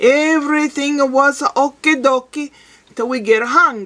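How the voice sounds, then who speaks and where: A woman's high-pitched voice has a bright, sharp tone against a quiet background. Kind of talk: casual vlog joke telling. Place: home room. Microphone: webcam.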